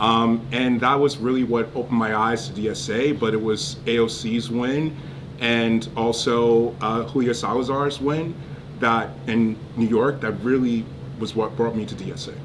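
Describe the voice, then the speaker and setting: A man talks at a moderate pace with medium pitch and ordinary pitch variation. There is audible room echo and noticeable background noise. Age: 40s. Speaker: political candidate. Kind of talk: casual interview. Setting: in-person livestream. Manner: animated.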